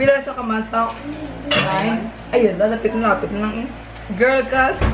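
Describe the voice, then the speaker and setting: Over noticeable background noise and audible room echo, a woman speaks at a fairly high pitch with fairly even intonation. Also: moderate pace. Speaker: vlogger. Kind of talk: casual home vlog. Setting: at home.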